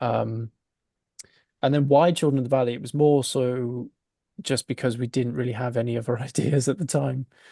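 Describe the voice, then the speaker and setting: A man with a Welsh accent and a medium pitch speaks at a moderate pace with fairly even intonation, a dark, mellow tone and long, frequent pauses, in a dry, close sound with no echo. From Wales, South Wales valleys village. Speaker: film director. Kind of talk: interview. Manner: hesitant, many fillers.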